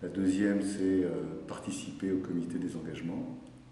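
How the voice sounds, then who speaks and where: At a fairly slow pace, a man with a very deep, low pitch speaks amid audible room echo. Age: 60s. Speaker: company director and mentor. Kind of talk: interview testimony.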